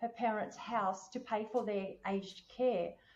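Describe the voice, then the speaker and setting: With an Australian accent, a woman talks at a fairly high pitch. Her pitch varies in an ordinary way. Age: 60s. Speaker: podcast host on finance and wellbeing. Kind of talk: casual chat.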